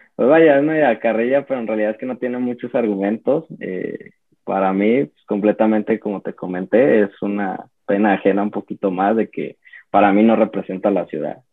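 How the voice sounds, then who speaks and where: A man talks at a moderate pace and a fairly low pitch. He has a plain, everyday voice. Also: ordinary pitch variation. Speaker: football fan. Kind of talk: casual chat.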